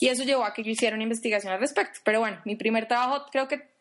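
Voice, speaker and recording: Speaking at a very fast pace, the woman has a high-pitched voice. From Colombia, Popayán. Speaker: podcast co-host, UX specialist. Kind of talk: casual chat.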